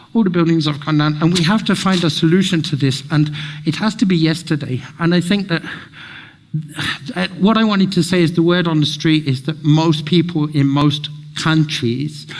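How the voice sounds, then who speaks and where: With noticeable background noise behind him, a man talks at a moderate pace and fairly high pitch, keeping very even loudness and fairly even intonation. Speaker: speaker at community event. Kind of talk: public talk with slides. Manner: halting.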